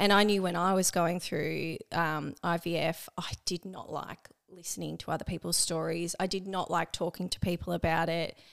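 A woman's fairly low, flat, monotone voice with vocal fry, in an Australian accent, at a moderate pace with hardly any pauses. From Australia, Melbourne. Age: 30s. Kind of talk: casual chat.

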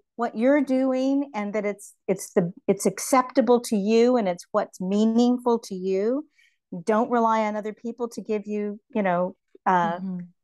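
A normal speaking voice moves at a fairly slow pace with ordinary pitch variation. The sound is dry and close with no echo, over a quiet background. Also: woman. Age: 60s. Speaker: writer and visual artist. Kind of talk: casual interview.

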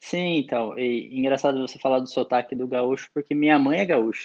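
Big swings in loudness mark this man's unremarkable speaking voice. He keeps a moderate pace and fairly even intonation. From interior of São Paulo state (Araras). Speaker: sommelier, national champion. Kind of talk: casual interview chat. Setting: remote recording.

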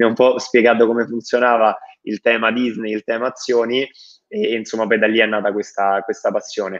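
A fairly quick male voice in a flat monotone. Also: medium pitch for a man. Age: 20s. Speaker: startup founder. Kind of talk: interview.

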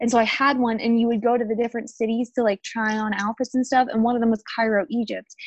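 A woman's fairly high voice at a very fast pace, monotone and flat, with very even loudness and a dry, close sound with no echo. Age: 20s. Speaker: true crime podcast co-host. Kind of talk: casual chat.

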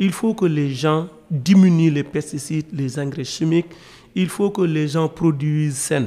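Noticeable background noise accompanies speech that moves fairly slowly. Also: man, fairly high pitch for a man, ordinary pitch variation. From Senegal, rural area near Dakar. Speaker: young farmer. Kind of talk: workshop discussion.

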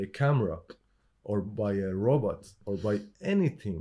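A man with a dark, mellow tone speaks at a fairly slow pace with very wide pitch swings, on a very clean recording with a silent background. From Iran. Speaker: artist and drummer. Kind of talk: casual chat. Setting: in-person recording on camera with mics. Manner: slow talker.

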